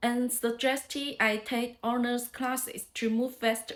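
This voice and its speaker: A woman with a high pitch speaks at a fairly slow pace. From China (Chaoshan region). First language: Chaoshan dialect, Mandarin, Cantonese. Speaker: language learner vlogger. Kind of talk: speaking practice monologue.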